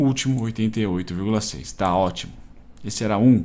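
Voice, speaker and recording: A man with a fairly low pitch speaks with ordinary pitch variation. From Brazil. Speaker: day trader and YouTuber; YouTuber. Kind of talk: live trading commentary. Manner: casual, slangy. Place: home room.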